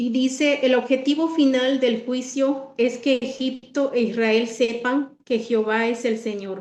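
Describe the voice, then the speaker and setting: A woman speaks in a high voice. Her intonation stays fairly even. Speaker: Bible study presenter. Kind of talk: Bible study talk. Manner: halting, many fillers.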